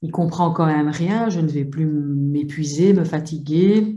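Here a woman speaks with a very deep, low pitch. Her intonation stays fairly even. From Belgium. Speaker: psychologist and psychotherapist. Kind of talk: webinar discussion.

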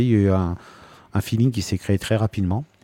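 Over a quiet background, a man's fairly low, dark, mellow voice shows ordinary pitch variation in a dry, close sound with no echo. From France, Normandy (Rouen). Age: 50s. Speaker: pastry chef. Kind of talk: interview. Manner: hesitant, many fillers.

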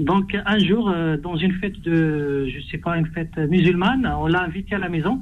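In a room with audible echo, a man with an Arabic accent talks at a moderate pace. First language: Arabic (speaking French). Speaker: radio phone-in caller. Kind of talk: phone-in question. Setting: phone call.

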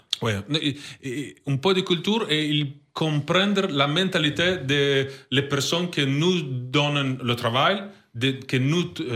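A man with an Italian accent, very slow pace, fairly high pitch, ordinary pitch variation and a bright, sharp tone. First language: Italian (speaking French). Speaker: basketball sporting director. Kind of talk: interview. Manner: halting.

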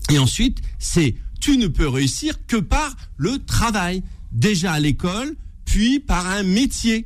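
Very wide pitch swings in a high-pitched man's voice. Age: 50s. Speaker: mayor, former police officer. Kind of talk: interview. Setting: studio.

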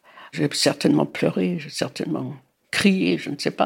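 A woman speaks at a very slow pace. Her voice carries vocal fry. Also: very clean recording, silent background. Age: 80s+. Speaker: grandmother sharing memories. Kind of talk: testimony. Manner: halting.

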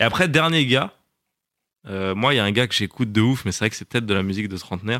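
On a very clean recording with a silent background, a man speaks very fast yet with long, frequent pauses, his fairly low pitch showing ordinary variation and a bright, sharp tone. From France, North African family. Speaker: screenwriter, actor and content creator. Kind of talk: casual interview.

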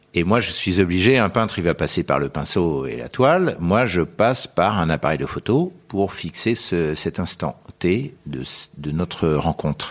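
With a very deep, low pitch, this man speaks with vocal fry. His intonation is lively. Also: fairly slow pace. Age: 80s+. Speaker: portrait photographer. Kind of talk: interview conversation. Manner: halting.

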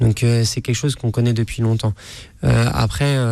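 Fairly slow, fairly even speech from a man at medium pitch, over a quiet background. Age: 30s. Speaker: chef. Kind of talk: radio interview. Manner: halting.

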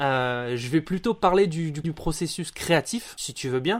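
This man talks at a fairly slow pace in a fairly high pitch with very wide pitch swings, on a very clean recording with a silent background. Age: 30s. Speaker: audio production staff at a newspaper. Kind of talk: interview.

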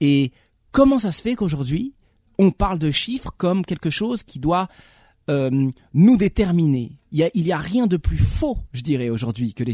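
A man's fairly high voice with very wide pitch swings, a dark, mellow tone, a moderate pace and a dry, close sound with no echo. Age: 40s. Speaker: film director. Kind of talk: radio interview.

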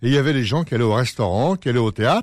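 With a quiet background, a man talks and his pitch varies in an ordinary way. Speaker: radio host. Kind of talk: radio interview. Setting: studio. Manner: halting, repeats words.

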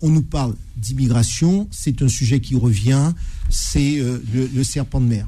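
Speaking at a very slow pace, a man keeps a medium pitch, very even loudness and ordinary pitch variation amid noticeable background noise. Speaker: lawyer, debate panelist. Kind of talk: radio panel debate. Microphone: microphone badly positioned at first.

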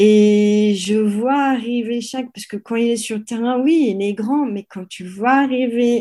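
In a very clean recording with a silent background, a woman with a fairly high pitch speaks in a dark, mellow tone with ordinary pitch variation. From France. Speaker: sports photographer. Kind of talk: interview. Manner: halting.

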